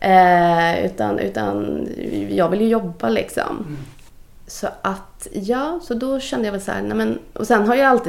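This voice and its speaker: Noticeable background noise behind a woman's fairly slow delivery. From Gothenburg, Sweden (Majorna). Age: 40s. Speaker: casting director. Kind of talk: casual interview. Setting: office.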